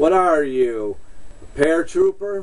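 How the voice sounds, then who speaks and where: A man's put-on character voice, fairly high in pitch, with lively intonation and a fairly slow pace. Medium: solo performance.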